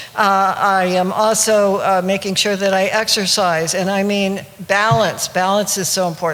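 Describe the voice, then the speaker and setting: At a moderate pace and medium pitch, a woman speaks with fairly even intonation over noticeable background noise. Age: 80s+. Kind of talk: seminar talk to live audience. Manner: hesitant, many fillers.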